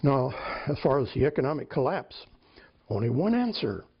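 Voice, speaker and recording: In an American accent, a man speaks at a moderate pace with a fairly high, somewhat breathy voice. His pitch swings very widely. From California. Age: 80s+. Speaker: author and retired police officer. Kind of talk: interview. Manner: halting.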